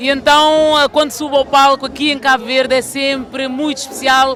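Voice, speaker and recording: The speech moves at a moderate pace with music playing in the background. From Portugal, Lisbon. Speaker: singer. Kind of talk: interview. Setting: music festival.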